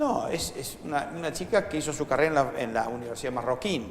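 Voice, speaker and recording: Noticeable background noise sits behind a man speaking with a Rioplatense accent. He talks at a fairly quick pace in a fairly high pitch. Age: 60s. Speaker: foundation director and educator. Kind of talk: interview. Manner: animated.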